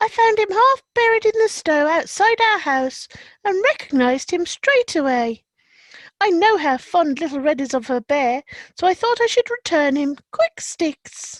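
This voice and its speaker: A squeaky, put-on character voice moves at a moderate pace with very wide pitch swings on a very clean recording with a silent background. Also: woman, extremely high pitch for a woman. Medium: read story. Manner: warm, motherly.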